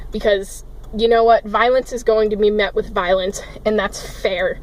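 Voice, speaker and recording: A woman talks at a fairly quick pace with a medium pitch. Her intonation is flat and monotone, and background noise is noticeable. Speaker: vlogger. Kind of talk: emotional rant vlog. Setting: in a car, parked. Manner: loud, yelling.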